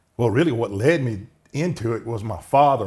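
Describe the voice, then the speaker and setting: In a very clean recording with a silent background, a man of medium pitch talks with a Southern US accent. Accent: Southern US (Georgia). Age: 60s. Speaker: county commissioner. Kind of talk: interview.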